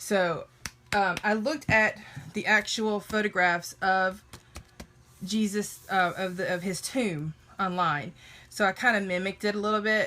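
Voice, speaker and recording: With a Southern US accent, a woman talks at medium pitch in a bright, sharp tone, her intonation fairly even and broken by long, frequent pauses. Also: fairly slow pace. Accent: Southern twang. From US South. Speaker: Bible art journaling creator. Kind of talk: casual livestream craft chat. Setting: live video stream.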